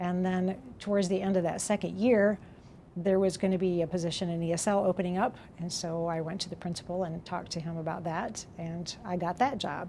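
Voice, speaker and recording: A woman's fairly low, dark, mellow voice with an American accent, at a fairly quick pace. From Brazil, American family. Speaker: retiring ESL teacher. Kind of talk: interview testimony.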